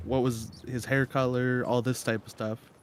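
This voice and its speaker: At a moderate pace, the voice stays monotone and flat while noticeable background noise runs underneath. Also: man. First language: not English. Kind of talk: casual chat.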